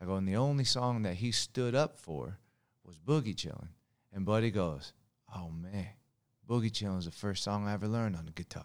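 In a very clean recording with a silent background, a man with a fairly low pitch and an American accent talks at a fairly quick pace, with lively intonation and big swings in loudness. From Long Beach, California. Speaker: touring musician. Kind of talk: casual interview chat. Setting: studio. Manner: casual, laid-back.

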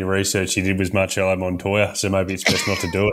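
A man with an Australian accent talks at a very fast pace in a fairly low pitch. Noticeable background noise sits behind him. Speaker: podcast guest. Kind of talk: casual, blokey banter.

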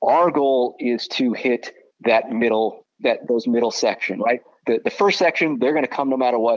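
A man with an American accent talks at a moderate pace in an unremarkable speaking voice. His pitch is medium with ordinary variation, and his loudness stays very even. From Southern California. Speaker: baseball broadcaster. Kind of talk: casual interview.

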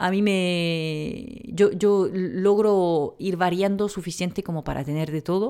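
In a very clean recording with a silent background, a woman speaks at a medium pitch with a dark, mellow tone and ordinary pitch variation. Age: 30s. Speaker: naturopath and pharmacist podcast host. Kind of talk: unscripted solo podcast answering questions. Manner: hesitant, many fillers.

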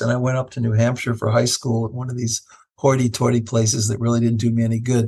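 A man with an American accent talks in a somewhat breathy voice at a medium pitch. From Ohio, Cleveland. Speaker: professor and bioethicist. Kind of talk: casual interview.

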